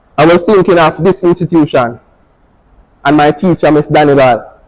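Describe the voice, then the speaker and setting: Speaking with a Jamaican accent, a man goes at a fairly slow pace. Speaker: fashion designer and barber. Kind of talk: speech to students.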